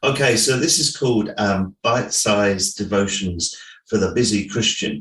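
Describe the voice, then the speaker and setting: A man with a fairly low pitch and an English accent keeps his loudness very even. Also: ordinary pitch variation, moderate pace. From England. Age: 60s. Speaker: pastor and author. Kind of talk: interview. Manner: hesitant, many fillers.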